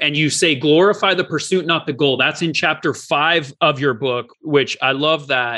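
With an American accent, a man speaks at a moderate pace in a fairly high pitch, his tone bright and sharp and his pitch varying in an ordinary way. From US, Oregon-Idaho border. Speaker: podcast host and attorney. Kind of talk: interview.

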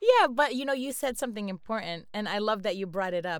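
Using a normal speaking voice, a woman talks at a medium pitch with lively intonation. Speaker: podcast co-host. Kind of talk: casual chat.

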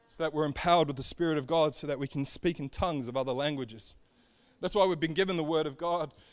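With an Australian accent, this very fast speaker keeps a fairly even intonation on a very clean recording with a silent background. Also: man. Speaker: preacher. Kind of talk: sermon.

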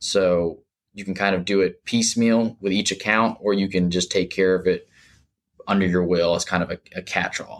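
The man's fairly low pitch stays in a monotone, flat intonation as he speaks at a moderate pace. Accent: American. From Jacksonville, Florida. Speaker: estate planning attorney. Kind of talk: interview.

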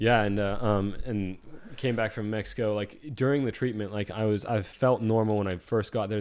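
A man with an ordinary speaking voice talks at a fairly low pitch and a moderate pace, with fairly even intonation. His voice sits in a very clean recording with a silent background. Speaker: podcast guest sharing cancer story. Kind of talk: casual interview storytelling.

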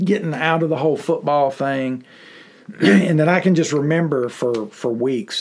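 Speaking in a Mississippi accent, a man talks at a fairly slow pace. His voice is fairly high, with lively intonation. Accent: Southern US (Mississippi). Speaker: pastor and special education teacher. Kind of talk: interview, personal testimony. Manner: halting, many fillers and repetitions.

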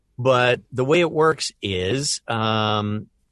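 A man with ordinary pitch variation in a dry, close sound with no echo against a quiet background. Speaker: voice actor. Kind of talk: casual interview chat.

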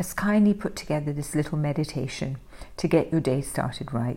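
A somewhat breathy, dark, mellow tone with lively intonation at a moderate pace. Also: woman. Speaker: wellness podcast host. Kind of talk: scripted intro and outro.

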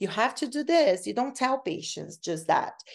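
A woman speaks with a Brazilian accent and very wide pitch swings. The background is quiet. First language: Portuguese. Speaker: cardiac rehab researcher and professor. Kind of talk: interview, explaining research. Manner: somewhat halting, with repetitions.

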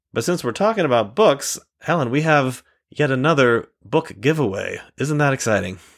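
A man with an ordinary speaking voice, fairly high in pitch, lively in intonation and moderate in pace, on a very clean recording against a silent background. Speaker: podcast host. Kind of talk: casual podcast hosting with a sales pitch.

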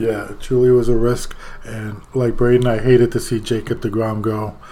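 Over noticeable background noise, a man with an American accent talks in a flat, monotone way. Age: 60s. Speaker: podcast host, grandfather. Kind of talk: casual chat.

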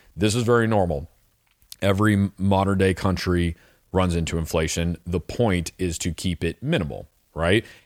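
The man's pitch is very deep and low, with ordinary variation. He speaks at a moderate pace in a very clean recording with a silent background. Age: 30s. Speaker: personal finance podcast host. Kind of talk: solo monologue podcast. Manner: casual with frequent fillers.

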